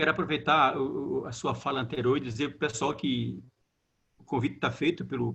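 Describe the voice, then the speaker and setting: Vocal fry marks this man's speech, delivered at a moderate pace with ordinary pitch variation. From Brazilian Northeast. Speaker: theologian, moderator. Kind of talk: panel discussion. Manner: halting, repeats words.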